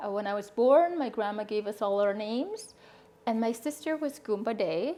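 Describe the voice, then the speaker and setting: At a moderate pace, a woman with a Canadian accent speaks in a dark, mellow tone with lively intonation. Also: fairly high pitch for a woman. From Northwest Territories, Canada (Dene, Fort Simpson/Yellowknife). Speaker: interviewee sharing life story. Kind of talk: interview.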